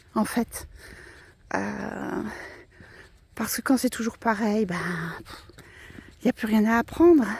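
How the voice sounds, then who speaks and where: A fairly high-pitched woman at a very slow pace, her pitch varying in an ordinary way, with noticeable background noise. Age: 60s. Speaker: vlogger. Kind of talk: personal reflection vlog. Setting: outdoors, walking in a wood. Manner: hesitant, many fillers and repetitions.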